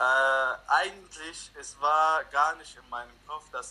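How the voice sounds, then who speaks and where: A man with an Arabic accent. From Lebanon. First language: Arabic (speaking German). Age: 20s. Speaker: refugee interviewee. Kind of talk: interview.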